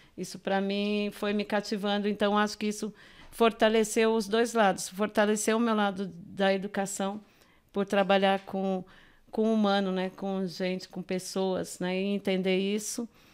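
A woman speaks fairly slowly in a flat monotone, on a very clean recording with a silent background. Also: medium pitch for a woman. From Minas Gerais, raised in São Paulo (Grajaú). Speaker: art educator and visual artist. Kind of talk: podcast interview.

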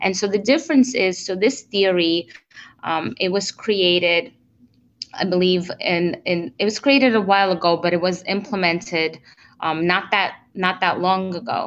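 An unremarkable speaking voice from a woman at medium pitch, with ordinary pitch variation and a moderate pace. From immigrated to the US in 1992. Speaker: relationship coach. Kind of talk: interview.

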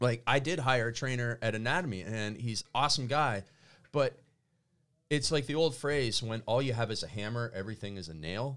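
On a very clean recording with a silent background, a man with a Canadian accent and a normal speaking voice talks at a moderate pace with ordinary pitch variation. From Canada. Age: 40s. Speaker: business coach. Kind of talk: casual chat. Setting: studio.

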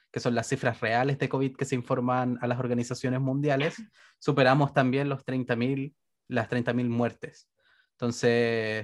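On a very clean recording with a silent background, a man with a Chilean accent speaks fairly slowly at medium pitch with monotone, flat intonation. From Chile, Santiago. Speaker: podcast co-host. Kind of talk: casual chat.

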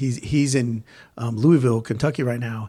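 On a very clean recording with a silent background, a somewhat breathy man with an American accent speaks at a moderate pace with fairly even intonation. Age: 40s. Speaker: gym owner and podcast host. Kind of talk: casual chat.

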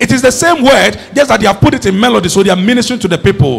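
Very fast, animated speech with lively intonation over noticeable background noise. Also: man. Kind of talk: sermon, preacher in full flow teaching from scripture. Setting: church with a congregation. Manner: animated, call-and-response, urging the congregation to repeat lines; emphatic, repetitive rhythmic build-up.

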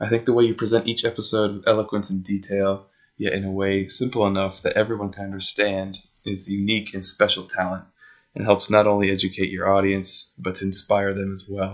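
Very fast, monotone and flat, from a man with a fairly low pitch and an American accent. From United States. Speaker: listener, Arabic learner. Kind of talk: recorded listener message.

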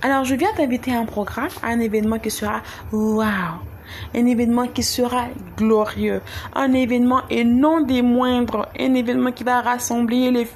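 A woman's high-pitched, animated voice at a fairly slow pace, with noticeable background noise. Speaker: church youth event promoter. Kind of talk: event announcement.

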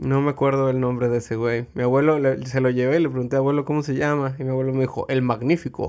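A man at medium pitch, very fast and monotone, with flat intonation and hardly any pauses. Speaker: podcast co-host and editor. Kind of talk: casual chat.

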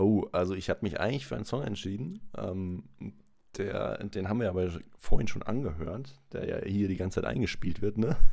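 A man speaks at a fairly quick pace in a fairly low pitch with ordinary pitch variation. His tone is dark and mellow, with vocal fry. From Freiburg, southwest Germany. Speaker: podcast guest. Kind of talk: casual chat.

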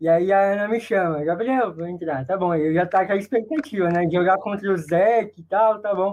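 With ordinary pitch variation, a man's voice rides high. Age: 20s. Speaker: wheelchair rugby player. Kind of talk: casual chat.

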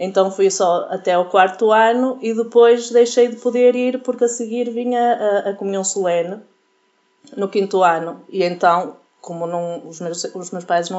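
A woman at medium pitch talks at a moderate pace with ordinary pitch variation and big swings in loudness. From Portugal. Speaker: youth group leader. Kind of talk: interview. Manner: halting.

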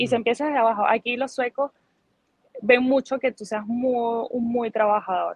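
At a moderate pace, a woman talks in a high-pitched voice. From Venezuela, Barinas plains (Socopó). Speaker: migrant interviewee. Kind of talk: testimony. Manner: animated.

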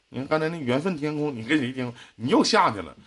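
Pitched high, a man talks in an animated tone at a very fast pace. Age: 30s. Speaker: radio host giving relationship advice. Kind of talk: live call-in advice show.

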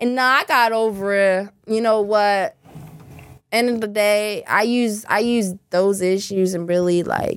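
Speaking in a plain, everyday voice with an American accent, the speaker goes at a fairly slow pace with fairly even intonation. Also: woman, medium pitch for a woman. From Louisiana, US South. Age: 20s. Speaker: adult entertainer and content creator. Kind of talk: casual interview chat. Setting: studio.

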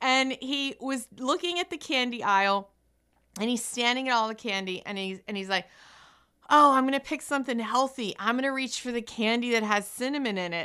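In a very clean recording with a silent background, a woman speaks at a high pitch and a moderate pace with ordinary pitch variation. Her tone is bright, sharp and animated. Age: 40s. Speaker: radio host. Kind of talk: motivational radio talk.

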